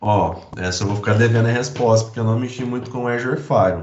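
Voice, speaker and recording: A man speaks in an unremarkable speaking voice at medium pitch. His pace is fairly quick, with ordinary pitch variation. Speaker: IT security specialist presenting a demo. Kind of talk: technical presentation.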